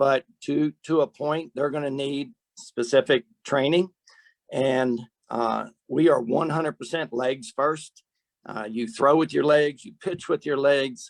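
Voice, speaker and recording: With a plain, everyday voice, a man speaks at a fairly slow pace and a fairly high pitch with ordinary pitch variation, the sound dry and close with no echo. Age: 60s. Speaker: softball strength and speed trainer. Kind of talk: webcast panel discussion. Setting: webcast.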